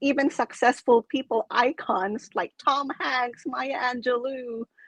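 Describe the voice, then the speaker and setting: With a Filipino accent, a woman speaks at a fairly slow pace and a high pitch, the sound dry and close with no echo. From Philippines. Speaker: coach and public speaker, club president. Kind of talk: casual interview. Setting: live stream video call. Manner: animated.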